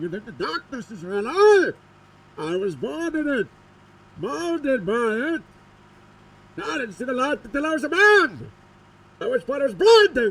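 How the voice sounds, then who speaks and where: Doing a put-on character voice, a man speaks at an extremely high pitch with very wide pitch swings and long, frequent pauses. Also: moderate pace. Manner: menacing.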